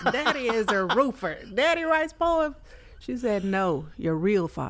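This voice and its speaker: A woman speaks with an American accent and an animated tone. Her pitch swings very widely. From Fort Worth, Texas. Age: 40s. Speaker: poet. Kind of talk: casual interview chat. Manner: laughs often, animated.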